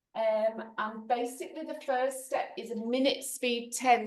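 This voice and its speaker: With a British accent, a woman speaks at a fairly slow pace. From UK. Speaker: cooking demonstrator. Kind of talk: cooking demo on video call. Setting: video call.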